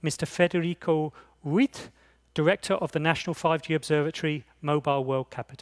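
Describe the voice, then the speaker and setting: Fairly quick speech in an English accent, on a very clean recording with a silent background and a dry, close sound free of echo. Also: man. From England. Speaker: conference chair. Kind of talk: opening speech. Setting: conference stage with audience.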